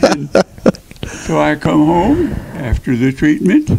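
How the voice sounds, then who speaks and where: A man is speaking. There is noticeable noise behind him. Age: 90s. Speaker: retired rodeo cowboy. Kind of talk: interview testimony. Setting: interview with microphone.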